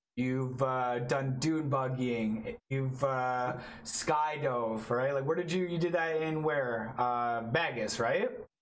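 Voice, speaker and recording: With a Canadian accent, a man speaks at medium pitch and a fairly slow pace in an enthusiastic tone. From Toronto, Canada. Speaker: podcast host, wheelchair user. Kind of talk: casual interview chat. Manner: casual, profane, enthusiastic.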